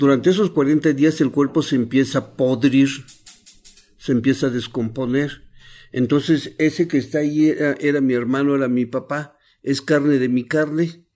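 With music playing in the background, a man with an Oaxacan accent speaks at a moderate pace in a fairly high pitch for a man, his intonation fairly even. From Huautla de Jiménez, Oaxaca, Mexico. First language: Mazatec (speaking Spanish). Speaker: traditional healer and nurse. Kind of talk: interview testimony.

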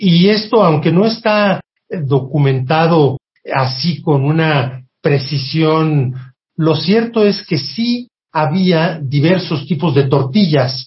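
A man speaks at a very slow pace with a fairly high pitch. His loudness stays very even and his pitch varies in an ordinary way. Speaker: food historian. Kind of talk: interview.

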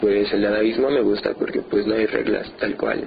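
The voice belongs to a man. Noticeable background noise can be heard. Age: 20s. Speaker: painter. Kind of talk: interview.

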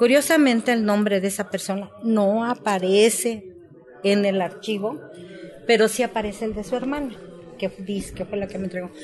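A woman speaks at a medium pitch and a moderate pace, with ordinary pitch variation. Noticeable background noise sits behind her. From Mexico, Tlaltizapán, Morelos. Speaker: former guerrilla militant and author. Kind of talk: testimony.

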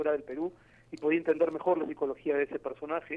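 Very fast, flat, monotone speech from a man with a fairly high pitch. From Peru. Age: 40s. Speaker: novelist and journalist. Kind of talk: interview. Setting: phone call. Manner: halting, many fillers.

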